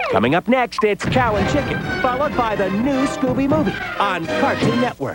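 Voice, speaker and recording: Music plays in the background as a man talks at a moderate pace. His pitch is extremely high, with lively intonation. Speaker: TV network announcer. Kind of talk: TV channel promo read. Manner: energetic.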